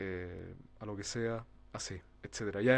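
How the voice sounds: In a Chilean accent, a man speaks with fairly even intonation.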